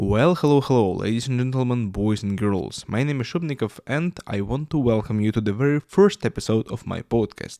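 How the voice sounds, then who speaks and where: A man with a Russian accent and a medium-pitched voice talks at a fairly quick pace with hardly any pauses and lively intonation, in a very clean, dry, close recording with no echo and a silent background. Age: 20s. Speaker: YouTuber and podcaster. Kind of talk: podcast monologue. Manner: halting, many fillers.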